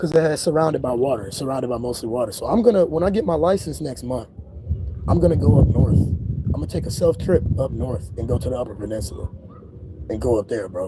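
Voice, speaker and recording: A man at a very fast pace, with very wide pitch swings, over noticeable background noise. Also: medium pitch for a man. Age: 20s. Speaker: spiritual YouTuber. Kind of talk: casual livestream monologue. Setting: outdoors. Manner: animated.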